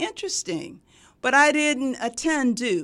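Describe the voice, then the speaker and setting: On a very clean recording with a silent background, a woman with an American accent uses an ordinary speaking voice, lively intonation and a moderate pace. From US South, Sumter, South Carolina. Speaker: nursing professor. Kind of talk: interview.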